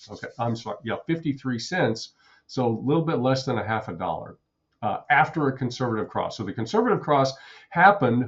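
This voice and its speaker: Somewhat breathy, a man talks at a medium pitch with lively intonation. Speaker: day trader and trading educator. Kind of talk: live trading commentary. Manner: fast, auctioneer-like calling out of numbers; repetitive.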